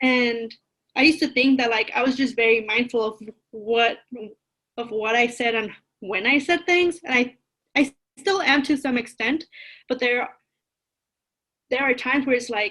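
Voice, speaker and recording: Pausing long and often at a moderate pace, a woman with a Spanish accent speaks in a high pitch with a bright, sharp tone and ordinary pitch variation. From East Los Angeles, US. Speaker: college advisor. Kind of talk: podcast interview.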